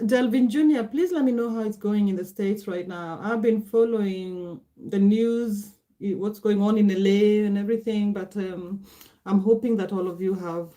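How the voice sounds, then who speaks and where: Speaking with a Kenyan accent, a woman uses a dark, mellow tone at a medium pitch and moderate pace, with fairly even intonation. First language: Gikuyu. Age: 40s. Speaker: livestreamer. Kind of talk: casual livestream chat. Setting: livestream at computer. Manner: halting.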